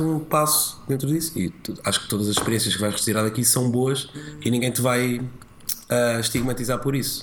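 A man with a plain, everyday voice talks at a moderate pace and medium pitch, showing ordinary pitch variation and hardly any pauses. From Portugal, rural village. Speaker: TV presenter and comedian. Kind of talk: casual chat.

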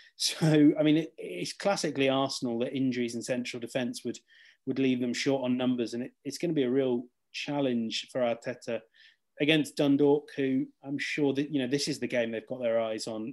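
Over a quiet background, a man with an English accent talks at a fairly quick pace, at medium pitch and with fairly even intonation. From England. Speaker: football journalist. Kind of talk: casual chat.

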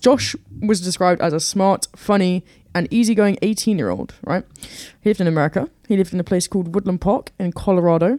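Very fast and at a medium pitch, a woman talks in a dark, mellow tone with ordinary pitch variation, in dry, close sound with no echo. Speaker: new podcast co-host. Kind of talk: casual chat. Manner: uneven pitch, new to the microphone.

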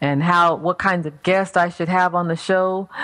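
This woman's fairly low voice comes through on a very clean recording with a silent background. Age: 40s. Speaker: radio host and minister. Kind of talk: talk radio interview.

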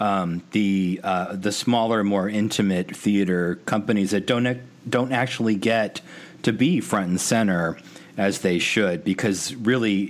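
Using an unremarkable speaking voice, a man with an American accent speaks at a fairly slow pace and fairly low pitch with ordinary pitch variation. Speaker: podcast host. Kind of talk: casual interview. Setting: recording in Chicago.

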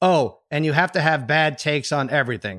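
Fairly high in pitch, a man talks in an ordinary speaking voice at a fairly quick pace. The recording is very clean, with a silent background. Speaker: sports podcast host. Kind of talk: casual chat.

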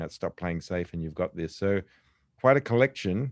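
In an Australian accent, a man with a very deep, low pitch talks at a moderate pace, the sound dry and close with no echo. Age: 50s. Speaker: podcast host, business executive. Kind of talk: interview. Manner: enthusiastic.

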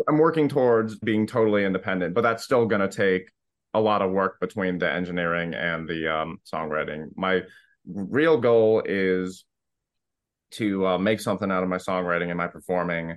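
With an American accent, a man speaks in a very deep, low pitch and ordinary pitch variation. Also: moderate pace. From Florida, US. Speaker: musician and songwriter. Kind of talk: casual chat.

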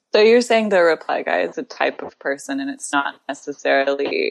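A woman with a General American accent at a moderate pace. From US Southwest and Midwest (Tucson, Arizona and Grand Rapids, Michigan). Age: 30s. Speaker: writer. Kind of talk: casual chat.

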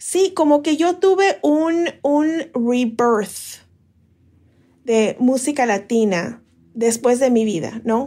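A woman's high voice at a very slow pace, lively in intonation and very even in loudness. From Mexico City. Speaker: podcast creator. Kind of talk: interview.

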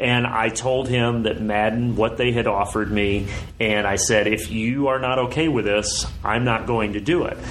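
In an American accent, a man speaks at medium pitch and a moderate pace with very even loudness and fairly even intonation. Noticeable background noise and audible room echo are present. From US Midwest (southern Indiana). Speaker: sports play-by-play broadcaster. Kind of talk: casual interview.

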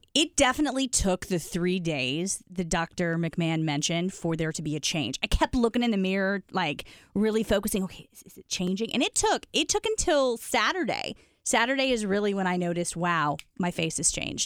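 A woman's fairly quick, lively speech in an unremarkable speaking voice at medium pitch, with big swings in loudness, dry and close with no echo, in a very clean recording with a silent background. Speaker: podcast host. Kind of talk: casual chat. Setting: studio.

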